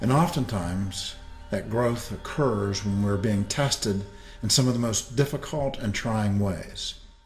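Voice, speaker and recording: With music in the background and audible room echo, a man at a medium pitch speaks at a fairly slow pace with ordinary pitch variation. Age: 60s. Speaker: inspirational speaker. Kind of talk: motivational talk.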